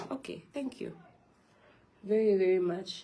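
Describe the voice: With a dark, mellow tone and fairly low pitch, a woman speaks with ordinary pitch variation amid audible room echo.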